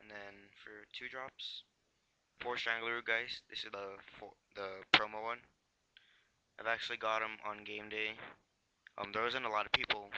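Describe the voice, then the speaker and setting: Mumbling at a moderate pace, a man with a fairly low pitch and bright, sharp tone speaks in a flat monotone, with long, frequent pauses and big swings in loudness. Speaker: YouTuber doing card game deck techs. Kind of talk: casual deck tech video. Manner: halting, many fillers.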